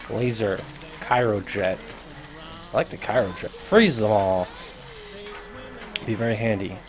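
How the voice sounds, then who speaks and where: Fairly even intonation and long, frequent pauses mark this fairly slow delivery, set against noticeable background noise. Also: man, fairly low pitch for a man. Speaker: gaming youtuber. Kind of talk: gameplay commentary. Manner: casual.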